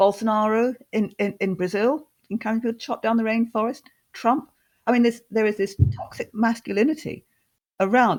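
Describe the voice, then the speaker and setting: On a very clean recording with a silent background, a woman with a Scottish accent talks at a fairly quick pace, her fairly high pitch showing ordinary variation. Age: 60s. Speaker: housing advocate and author. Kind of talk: podcast interview.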